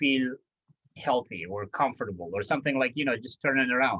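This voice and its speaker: With an Iranian accent, a man speaks at a medium pitch using ordinary pitch variation. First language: Farsi. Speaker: podcast host. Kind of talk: interview. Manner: halting.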